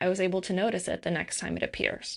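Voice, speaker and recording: Her pace fairly quick, a woman is talking. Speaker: podcast host and self-expression coach. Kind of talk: solo podcast monologue. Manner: fast.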